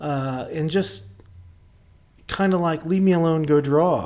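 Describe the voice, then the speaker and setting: This man speaks with an Oklahoma accent and lively intonation. His pace is moderate. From Oklahoma (rural, near Bristow). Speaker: artist. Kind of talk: interview conversation.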